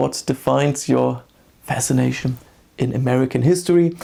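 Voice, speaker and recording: Here a man talks with a German accent. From Germany, small town. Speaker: history YouTuber. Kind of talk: personal vlog monologue. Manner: halting.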